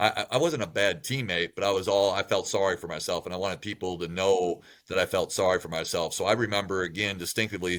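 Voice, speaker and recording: On a very clean recording with a silent background, a man speaks at a fairly low pitch and a very fast pace with ordinary pitch variation. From Wisconsin, US Midwest. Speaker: college basketball coach. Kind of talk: interview. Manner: loud, talkative.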